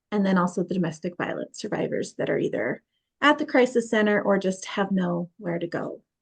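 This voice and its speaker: A woman with an American accent, fairly quick pace, medium pitch, lively intonation and vocal fry. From Utah (St. George). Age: 30s. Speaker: podcast host. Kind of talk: casual chat.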